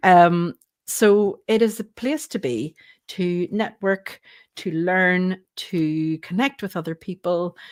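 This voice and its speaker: At a very slow pace, a woman with a Northern Irish accent speaks at a medium pitch with lively intonation, in a dry, close sound with no echo on a very clean recording with a silent background. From Northern Ireland. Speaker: co-host. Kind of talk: live stream chat.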